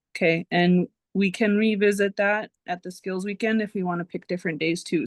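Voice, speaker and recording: Strained woman's voice at medium pitch, with ordinary pitch variation and a fairly slow pace, dry and close with no echo against a quiet background. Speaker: course instructor. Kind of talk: lecture. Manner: restrained volume; casual, filler-heavy.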